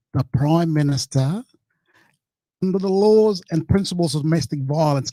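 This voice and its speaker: With a dark, mellow tone and a high pitch, a man speaks at a moderate pace with ordinary pitch variation, the sound dry and close with no echo. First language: not English. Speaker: panel guest. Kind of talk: heated debate.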